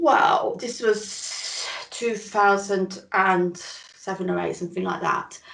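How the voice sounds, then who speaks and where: Very slow speech from a woman with a Northern English accent, against noticeable background noise. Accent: Northern British. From northern England. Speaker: chronic illness recovery interviewee. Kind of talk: interview, personal testimony.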